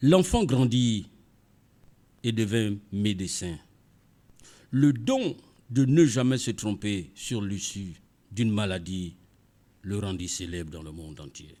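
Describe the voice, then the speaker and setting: On a very clean recording with a silent background, a man with a dark, mellow tone and fairly low pitch talks at a very slow pace, with lively intonation, big swings in loudness and long, frequent pauses. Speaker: radio storyteller. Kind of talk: read story. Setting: studio.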